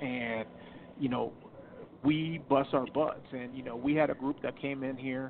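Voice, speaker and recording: A man with an ordinary speaking voice talks at a medium pitch. His pace is fairly quick and his intonation fairly even. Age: 40s. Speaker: wrestling promoter. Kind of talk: casual chat.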